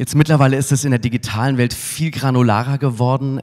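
A man at a fairly quick pace, with a quiet background. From Munich, Bavaria (southern Germany). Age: 40s. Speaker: advertising agency executive, keynote speaker; keynote speaker. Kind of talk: conference keynote. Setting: stage with audience. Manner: casual with frequent filler sounds. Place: hall. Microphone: handheld.

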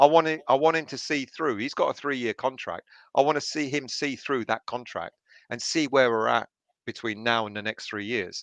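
A man with a plain, everyday voice speaks at a moderate pace in a medium pitch with ordinary pitch variation, against a quiet background with a dry sound with no echo. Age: 30s. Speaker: football fan channel host; fan show host. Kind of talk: casual chat. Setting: video call. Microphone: headset.

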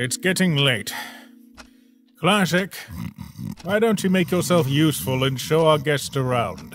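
Doing a cartoonish character voice at a fairly high pitch, a man leaves long, frequent pauses while faint music plays in the background. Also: moderate pace. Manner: commanding, brusque.

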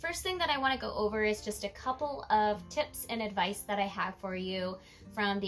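Faint music plays in the background while a woman speaks. Her pace is moderate and her pitch variation ordinary. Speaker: vlogger. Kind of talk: casual vlog chat. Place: home room.

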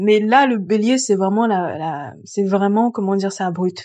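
The woman's voice sits at a medium pitch, and she speaks very slowly. The background is quiet. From grew up outside France. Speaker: astrologer. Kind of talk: solo video explainer. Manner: hesitant with frequent fillers.

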